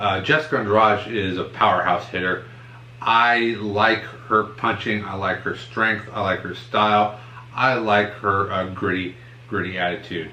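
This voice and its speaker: In an ordinary speaking voice, a man talks at a fairly slow pace with a fairly low pitch. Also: fairly even intonation. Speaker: MMA podcast co-host. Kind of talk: casual podcast talk.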